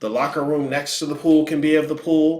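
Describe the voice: This man has a fairly high pitch and a slightly mellow tone, with little pitch movement. He speaks at a fairly quick pace, and audible room echo surrounds him.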